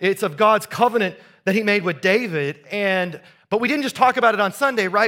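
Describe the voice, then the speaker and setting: A man's high-pitched, raised and projected voice with an American accent, bright and sharp in tone, ordinary pitch variation, a fairly quick pace, and a very clean recording over a silent background. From US Midwest, southeast Iowa. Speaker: pastor. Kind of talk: sermon. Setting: church. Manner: conversational.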